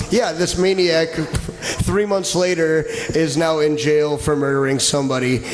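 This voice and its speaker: A man with a fairly high pitch speaks at a fairly slow pace with hardly any pauses and very even loudness. Audible room echo and noticeable background noise surround him. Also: ordinary pitch variation. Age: 30s. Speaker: comedy podcast host. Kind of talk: casual chat. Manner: animated.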